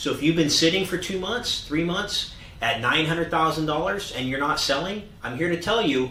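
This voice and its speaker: Over noticeable background noise and audible room echo, a man talks in a high voice with lively intonation. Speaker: real estate agent. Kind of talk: market update monologue. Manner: fast.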